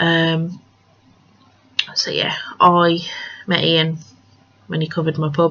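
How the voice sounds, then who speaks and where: A woman's very slow, fairly low-pitched, monotone delivery with flat intonation and long, frequent pauses, over noticeable background noise. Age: 20s. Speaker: craft podcaster. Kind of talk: casual monologue. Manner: hesitant, many fillers.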